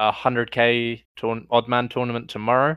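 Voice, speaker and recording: A man with an ordinary speaking voice. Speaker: esports podcast co-host. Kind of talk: casual banter podcast chat.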